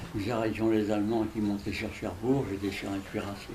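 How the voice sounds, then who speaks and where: A man speaks fairly quickly in a fairly low pitch with monotone, flat intonation. Noticeable background noise and audible room echo fill the recording. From France. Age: 90s. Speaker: war veteran. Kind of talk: interview.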